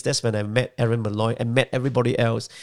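Talking at a very fast pace, a man holds a medium pitch and fairly even intonation in a dry, close sound with no echo. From Malaysia. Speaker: community organiser. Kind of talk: casual chat. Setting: home.

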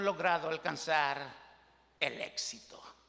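A man's raised, projected voice at a very slow pace. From Mexico. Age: 60s. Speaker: pastor. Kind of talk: sermon.

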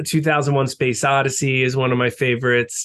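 A medium-pitched man with a New York accent. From US Northeast (Long Island, New York). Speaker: rock musician. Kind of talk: interview.

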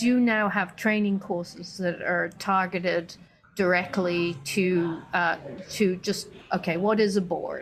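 Over noticeable background noise, a woman speaks at a medium pitch and a fairly slow pace with monotone, flat intonation. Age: 60s. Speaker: business consultant. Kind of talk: interview.

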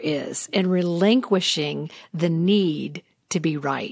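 A woman with an American accent speaks in an unremarkable speaking voice at a fairly low pitch, with ordinary pitch variation, in a dry, close sound with no echo and a very clean recording over a silent background. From US South. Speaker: podcast host. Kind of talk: interview. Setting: studio.

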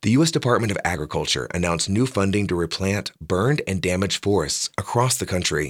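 A man with a plain, everyday voice, fairly low pitch, lively intonation and a fairly quick pace, in a very clean recording with a silent background. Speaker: radio newscaster. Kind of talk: brisk, polished radio news reading, crisp and evenly paced. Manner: formal; measured, neutral and steady.

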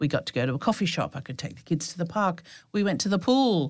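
Heard in an Australian accent, the voice comes through on a very clean recording with a silent background. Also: woman. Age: 40s. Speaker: birth trauma survivor and counsellor. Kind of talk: personal testimony.

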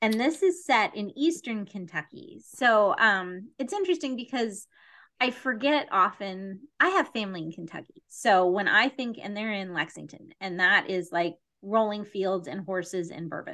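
Over a quiet background, a woman talks at a moderate pace with lively intonation. Her tone is bright and sharp, with big swings in loudness. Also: medium pitch for a woman. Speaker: podcast host. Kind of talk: casual chat.

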